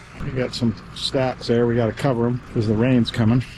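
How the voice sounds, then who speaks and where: Moderate-paced speech with an American accent over noticeable background noise. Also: man. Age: 60s. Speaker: farmer. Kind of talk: vlog narration; casual chat.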